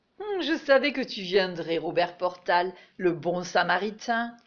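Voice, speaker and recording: In a shaky, put-on character voice, a woman speaks at a fairly slow pace with a medium pitch and lively intonation. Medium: stage play.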